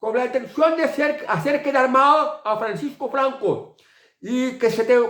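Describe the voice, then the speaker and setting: This man's pitch is extremely high. He speaks at a moderate pace. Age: 60s. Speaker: political commentator. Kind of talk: political monologue video commentary. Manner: halting, with repetitions.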